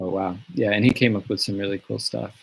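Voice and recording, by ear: A man speaks quietly in a gravelly voice with vocal fry. There is a slightly husky edge to it.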